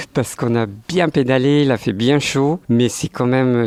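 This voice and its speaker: This man's voice shows ordinary pitch variation. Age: 60s. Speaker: retiree, sports club president. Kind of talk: interview. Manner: hesitant, many fillers.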